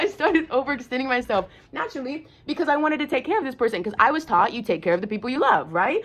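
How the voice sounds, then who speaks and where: A woman talks loudly at a very fast pace and a high pitch. Her animated tone carries very wide pitch swings. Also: hardly any pauses. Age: 20s. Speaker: lifestyle vlogger. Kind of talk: casual monologue.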